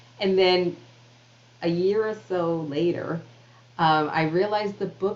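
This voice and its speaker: Speaking in a New York accent, a woman uses a fairly low pitch and ordinary pitch variation. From New York City (Queens). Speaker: author and public speaker. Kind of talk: interview conversation.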